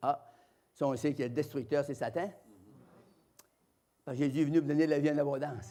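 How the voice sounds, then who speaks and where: In a Quebec accent, a man speaks fairly quickly with a dark, mellow tone. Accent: Québécois French. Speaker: evangelist preacher. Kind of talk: sermon testimony. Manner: loud; animated.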